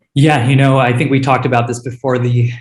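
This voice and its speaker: A man's somewhat breathy, medium-pitched voice in a monotone, flat intonation. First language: Hindi. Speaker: startup founder and CEO. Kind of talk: panel interview. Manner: many filler words (uh, um).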